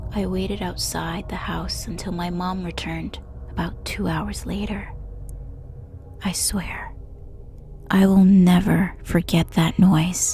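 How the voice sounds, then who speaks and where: A very slow delivery with long, frequent pauses and music in the background. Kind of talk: ASMR horror story narration. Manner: soft, hushed, slow.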